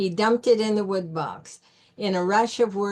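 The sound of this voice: This is an unforced reading voice. It carries the whole clip.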